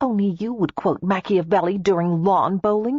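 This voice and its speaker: A woman uses a put-on character voice at a medium pitch. She keeps a moderate pace with ordinary pitch variation. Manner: through gritted teeth, sarcastic.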